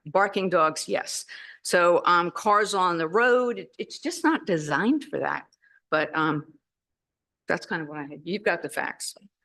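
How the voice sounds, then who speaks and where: With a quiet background, a woman speaks at medium pitch and a moderate pace, her intonation lively. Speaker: neighbouring resident speaking at public hearing. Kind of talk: public comment at zoning meeting. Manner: loud.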